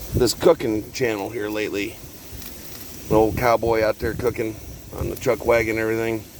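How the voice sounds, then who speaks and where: With noticeable background noise behind him, a man with an American accent speaks at a fairly quick pace in a monotone, flat intonation and a medium pitch, leaving long, frequent pauses. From Texas. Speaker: homesteader vlogger. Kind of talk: casual cooking vlog. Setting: outdoors, cooking in truck cab in parking lot.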